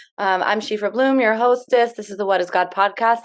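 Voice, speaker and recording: A woman talks in an ordinary speaking voice at a medium pitch with ordinary pitch variation. The background is quiet. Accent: American. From United States. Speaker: podcast host. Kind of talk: casual interview conversation.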